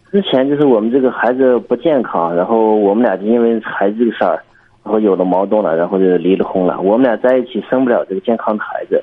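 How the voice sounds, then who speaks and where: Words come very fast, with pitch varying in an ordinary way. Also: man, medium pitch for a man. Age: 20s. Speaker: caller seeking marriage advice. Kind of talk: call-in advice conversation.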